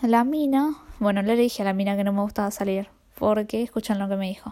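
On a very clean recording with a silent background, a woman with a Rioplatense accent speaks in a dark, mellow tone with fairly even intonation. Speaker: podcaster. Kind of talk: casual monologue.

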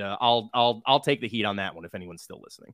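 There is an American accent in this man's speech. The pitch of his voice moves up and down very widely. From US Midwest. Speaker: podcast guest, fan. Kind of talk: casual chat. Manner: halting, many fillers and repeats.

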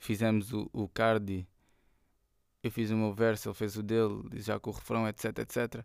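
On a very clean recording with a silent background, a man speaks with a fairly low pitch and monotone, flat intonation. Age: 20s. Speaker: rapper. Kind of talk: casual monologue. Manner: halting.

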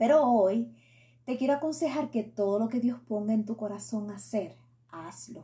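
In a Puerto Rican accent, a woman speaks with a dark, mellow tone and vocal fry. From Puerto Rico. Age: 40s. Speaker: faith and beauty podcaster. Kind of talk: solo podcast monologue.

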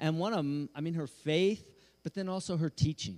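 Here a man speaks with a fairly high pitch and ordinary pitch variation. He has an unremarkable speaking voice. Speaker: church leader. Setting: church stage.

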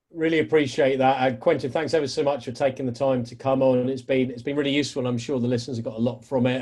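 Very fast and monotone with flat intonation, a man at medium pitch speaks in a British accent. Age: 40s. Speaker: podcast host. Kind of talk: casual interview. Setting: home office.

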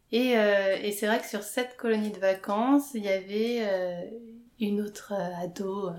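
This woman's voice sits at a medium pitch, with ordinary pitch variation. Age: 30s. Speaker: interviewee sharing coming-out story. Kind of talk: personal testimony interview. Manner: hesitant, many fillers.

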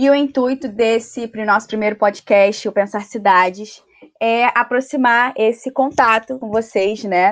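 A woman has an ordinary speaking voice with a fairly high pitch and ordinary pitch variation. The background is quiet. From Brazil, Rio de Janeiro. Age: 20s. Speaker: architecture student, podcast co-host. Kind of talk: casual chat.

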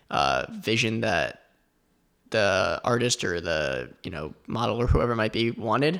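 Medium in pitch, this man's voice has vocal fry and an American accent. The recording is very clean with a silent background. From South Florida. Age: 20s. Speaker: photographer and psychology student. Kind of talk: interview.

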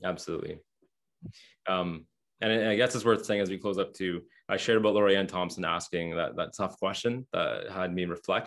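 Over a quiet background, a man with a Canadian accent uses an ordinary speaking voice, fairly low in pitch with fairly even intonation, at a fairly quick pace. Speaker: former ministry speaker and writer. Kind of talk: interview.

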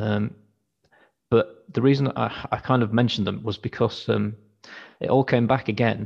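Medium-pitched male voice with vocal fry, fairly even intonation, a moderate pace and long, frequent pauses, against a quiet background. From Wakefield, West Yorkshire. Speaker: band frontman, label manager. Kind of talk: casual chat, interview. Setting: video call.

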